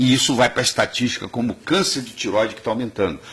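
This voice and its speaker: A man speaks at a fairly quick pace. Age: 60s. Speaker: cardiologist and nutrition doctor. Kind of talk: TV interview.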